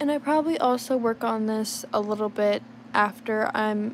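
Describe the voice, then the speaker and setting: Against noticeable background noise, a woman talks in a relaxed tone at a moderate pace. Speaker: livestreaming digital artist. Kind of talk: casual livestream chat while drawing. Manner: relaxed, hesitant with fillers.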